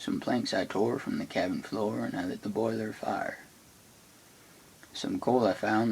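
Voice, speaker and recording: The voice is soft-spoken, at a moderate pace. Noticeable background noise runs underneath. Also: man. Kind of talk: poetry reading.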